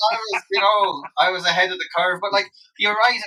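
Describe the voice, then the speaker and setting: The speaker is a man. He has a western Irish accent. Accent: Irish (west of Ireland). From Ireland, Loughrea, County Galway. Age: 40s. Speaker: singer-songwriter. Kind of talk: interview, casual chat.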